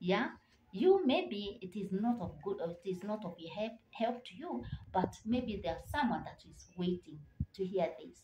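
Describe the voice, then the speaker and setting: A woman speaks at a moderate pace in a somewhat breathy, dark, mellow tone, with lively intonation and big swings in loudness. The room echo is audible, and there is light background noise. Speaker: motivational vlogger. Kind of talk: motivational talk to camera. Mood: earnest, encouraging. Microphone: phone near.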